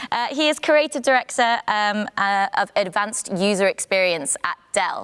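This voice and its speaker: Lively in intonation and fairly high in pitch, a woman's voice sounds dry and close with no echo. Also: moderate pace. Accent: non-native. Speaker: panel moderator. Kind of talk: panel discussion moderation.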